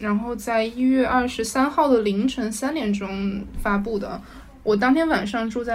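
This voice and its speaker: A woman with a fairly high pitch and fairly even intonation speaks amid noticeable background noise and audible room echo. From Hubei (Jingzhou and Wuhan). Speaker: podcast guest. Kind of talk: casual chat. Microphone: poor audio quality.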